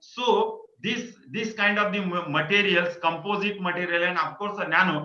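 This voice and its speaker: A man's voice comes with audible room echo. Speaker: invited lecturer. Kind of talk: lecture. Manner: halting.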